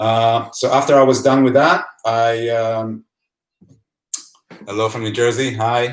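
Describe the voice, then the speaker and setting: This man talks at a fairly slow pace with an Israeli accent. His intonation stays fairly even, broken by long, frequent pauses. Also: medium pitch for a man. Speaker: photographer and author. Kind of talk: live-streamed presentation. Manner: hesitant, many fillers.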